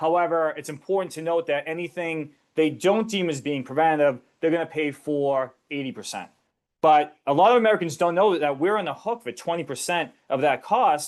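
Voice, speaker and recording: A man's fairly high, fairly quick voice with ordinary pitch variation over a quiet background. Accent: Boston. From US Northeast, Boston area. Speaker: financial educator presenter. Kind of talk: webinar presentation. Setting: online webinar. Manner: conversational.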